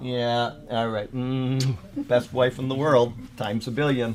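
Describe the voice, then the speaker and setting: A man of medium pitch speaks at a moderate pace in an unremarkable speaking voice. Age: 50s. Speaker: Bible teacher. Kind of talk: Bible study teaching. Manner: casual, chatty.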